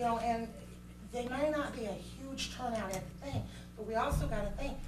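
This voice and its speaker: Audible room echo and noticeable background noise around a woman talking at a moderate pace. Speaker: parent speaking at public comment. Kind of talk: public comment at board meeting. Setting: school board meeting room. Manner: loud; animated.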